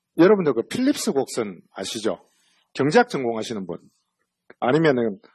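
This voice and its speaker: With a strong Busan accent, a man speaks at a moderate pace with very wide pitch swings, recorded dry and close with no echo against a quiet background. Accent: strong Busan (Gyeongsang) dialect. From Busan, South Korea. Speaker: central bank economist. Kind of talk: lecture. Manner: casual, conversational with fillers.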